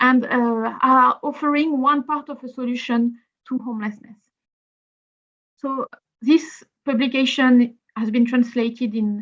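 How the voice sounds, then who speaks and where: A woman speaks in a French accent at a high pitch. Her pace is fairly slow and her intonation fairly even. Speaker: housing policy speaker. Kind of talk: webinar presentation.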